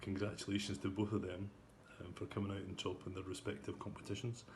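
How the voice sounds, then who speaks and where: With a Scottish accent, a man speaks in a somewhat breathy voice amid audible room echo. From Scotland. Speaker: golf club captain. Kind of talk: club news update. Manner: hesitant, many fillers.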